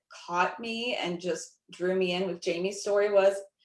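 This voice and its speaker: Speaking in a plain, everyday voice, a woman talks fairly slowly at medium pitch with fairly even intonation. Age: 40s. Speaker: network marketing ambassador. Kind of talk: panel discussion.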